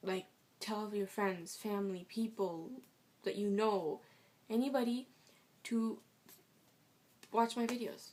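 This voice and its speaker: She is a soft-spoken woman with a medium pitch. Her intonation stays fairly even. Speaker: vlogger. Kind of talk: casual vlog. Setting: at home. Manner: fast.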